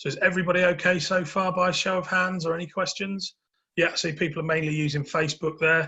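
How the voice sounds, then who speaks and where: A man talks at a very fast pace. His high voice stays monotone, with flat intonation. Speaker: business coach. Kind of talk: webinar presentation.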